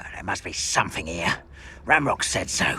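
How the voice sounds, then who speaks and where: Over light background noise, a man uses a raspy, put-on character voice at a moderate pace. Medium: video game. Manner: sneering, threatening.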